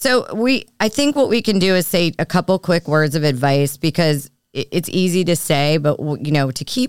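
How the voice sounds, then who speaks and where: Lively intonation marks this fairly slow speech on a very clean recording with a silent background. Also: woman. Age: 40s. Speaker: podcast host. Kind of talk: casual chat. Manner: animated.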